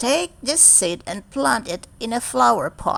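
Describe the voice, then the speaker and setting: Here a woman puts on a character voice at a fairly high pitch. She speaks at a fairly slow pace. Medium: read story.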